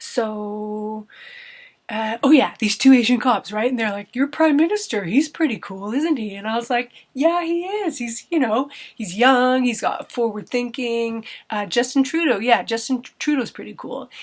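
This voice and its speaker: A woman speaks in a Canadian accent with a high pitch. Her intonation is lively. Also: moderate pace, big swings in loudness. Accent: Canadian, noticeable to British listeners. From Canada. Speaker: vlogger. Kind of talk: casual vlog monologue. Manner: conversational, with hesitations and self-corrections.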